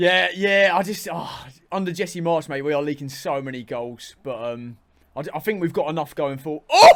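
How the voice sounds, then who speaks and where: On a very clean recording over a silent background, a man with a southern English accent speaks at a moderate pace with ordinary pitch variation. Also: fairly high pitch for a man. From southern England. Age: 20s. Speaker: content creator. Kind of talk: casual chat.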